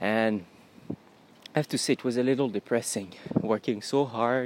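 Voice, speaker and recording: Speaking at a moderate pace with fairly even intonation, a man with a Quebec French accent talks at a medium pitch. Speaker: podcaster and agency owner. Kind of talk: solo monologue podcast.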